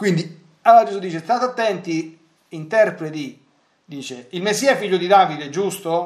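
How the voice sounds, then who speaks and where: With big swings in loudness, a man speaks at a high pitch with ordinary pitch variation. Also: moderate pace. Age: 40s. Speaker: priest and radio catechist. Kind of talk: lecture. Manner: halting.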